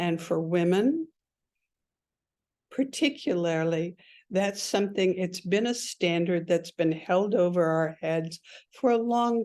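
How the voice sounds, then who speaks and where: Against a quiet background, a woman uses an ordinary speaking voice at medium pitch, with ordinary pitch variation and a fairly slow pace. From Canada, Ontario. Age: 60s. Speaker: speaker at a professional launch event. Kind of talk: motivational talk.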